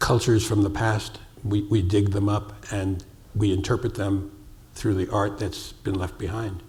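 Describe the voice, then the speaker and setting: A somewhat breathy, fairly low male voice with an American accent, monotone and flat at a moderate pace, in audible room echo. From US Northeast, New York City. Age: 70s. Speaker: sculptor. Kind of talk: onstage interview.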